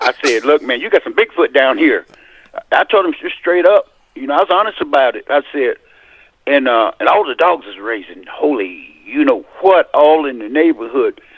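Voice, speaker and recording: A man's loudness rises and falls by large amounts as he talks at a moderate pace. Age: 60s. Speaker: caller sharing paranormal encounter. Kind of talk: testimony.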